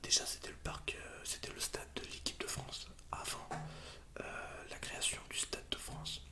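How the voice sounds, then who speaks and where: Against noticeable background noise, a man is whispering. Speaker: ASMR creator. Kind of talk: casual ASMR talk about football. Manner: whispered.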